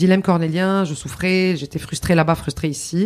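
Her pace is moderate. This woman's pitch is fairly low. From Lebanon. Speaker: public relations consultant and speaker. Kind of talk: interview. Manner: halting.

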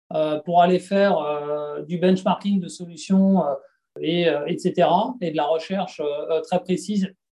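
Speaking at a high pitch, a man has a dark, mellow tone and fairly even intonation. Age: 40s. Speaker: digital and IT executive at an industrial company. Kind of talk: interview. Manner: halting, many fillers and repetitions.

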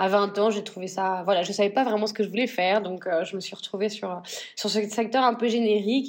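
A woman's voice with ordinary pitch variation. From northern France. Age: 40s. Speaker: fashion brand founder. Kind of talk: interview. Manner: halting.

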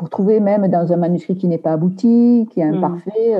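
Her pitch is medium and her intonation fairly even. The woman keeps a moderate pace. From Aveyron, southern France. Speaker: book editor and novelist. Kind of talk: interview. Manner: halting, many repetitions and hesitations.

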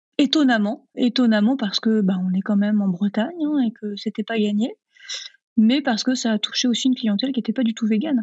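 A woman speaks at a fairly quick pace in a fairly high, somewhat breathy voice with ordinary pitch variation. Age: 30s. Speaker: vegan cooking content creator and trainer. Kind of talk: interview.

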